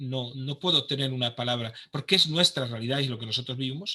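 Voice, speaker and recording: This man's voice is fairly high in pitch. Its tone is bright and sharp. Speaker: pastor and conference speaker. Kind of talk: online conference talk. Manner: halting, many false starts.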